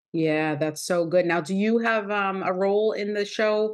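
Over a quiet background, a woman with a normal speaking voice talks at a moderate pace with lively intonation. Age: 40s. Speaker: podcast host and wellness coach. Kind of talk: casual interview.

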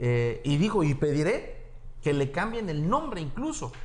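A man speaks with very wide pitch swings. Audible room echo surrounds his voice. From Mexico, Acapulco (Guerrero). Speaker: plastic surgeon and campaign coordinator. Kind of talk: political interview.

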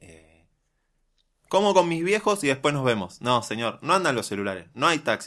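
A man's bright, sharp, fairly high voice with vocal fry moves at a moderate pace over a very clean recording with a silent background. His pitch swings very widely and his loudness shifts a lot. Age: 30s. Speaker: podcast co-host. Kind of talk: casual chat.

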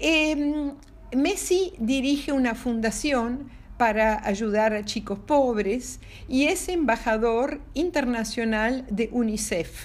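With a warm tone and lively intonation, a woman speaks at a very slow pace in a high pitch. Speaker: storyteller for children. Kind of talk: bedtime storytelling. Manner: warm, halting with fillers.

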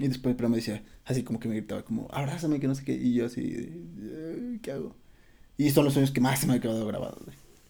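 In a Mexican accent, a man speaks at a very fast pace with a medium pitch and ordinary pitch variation. His tone is dark and mellow, with vocal fry. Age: 20s. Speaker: podcast guest. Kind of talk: casual chat.

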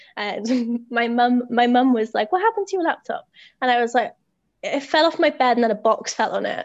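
In a British accent, a woman talks at a fairly quick pace with a high pitch. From Britain. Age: 20s. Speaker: teacher. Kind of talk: casual chat. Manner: energetic.

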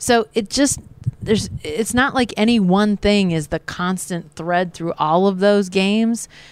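A woman with a plain, everyday voice speaks at a fairly slow pace, her medium pitch varying in an ordinary way. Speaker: sports beat writer. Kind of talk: post-game sports analysis chat.

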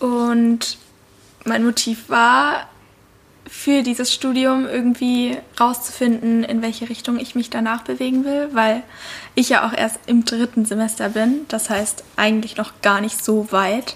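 Through noticeable background noise, a voice with fairly even intonation moves at a fairly slow pace. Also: woman, fairly high pitch for a woman. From Lake Constance region, southern Germany. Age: 20s. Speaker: intern, media student. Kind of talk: casual chat.

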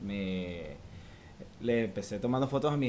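Audible room echo carries a man's voice at medium pitch. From Venezuela (Valencia). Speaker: photographer. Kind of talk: interview.

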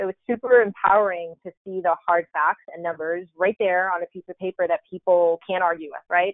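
A woman with an unremarkable speaking voice talks fairly quickly at medium pitch, hardly pausing, her loudness swinging widely. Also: fairly even intonation. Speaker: marketing executive. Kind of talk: casual chat.

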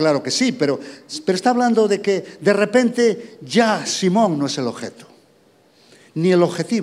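The speaker has an ordinary speaking voice. Delivery comes at a moderate pace with ordinary pitch variation. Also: man. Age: 60s. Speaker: pastor. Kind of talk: sermon. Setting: church.

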